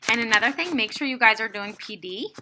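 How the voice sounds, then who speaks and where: A woman speaks at a very fast pace in a bright, sharp, animated tone with a fairly high pitch. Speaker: fitness coach. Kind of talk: tutorial.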